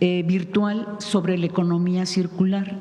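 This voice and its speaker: Her intonation fairly even and her pitch medium, a woman talks through noticeable background noise and audible room echo. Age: 60s. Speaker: radio journalist. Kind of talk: press conference question.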